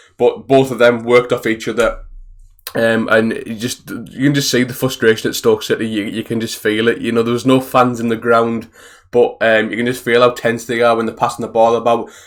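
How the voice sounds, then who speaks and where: A man with a Teesside accent speaks at a fairly quick pace. His medium-pitched voice stays monotone and flat. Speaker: football fan vlogger. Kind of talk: casual video review monologue. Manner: fast.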